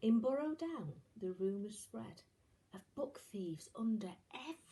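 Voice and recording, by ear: Someone is reading aloud in a natural voice, with lively intonation.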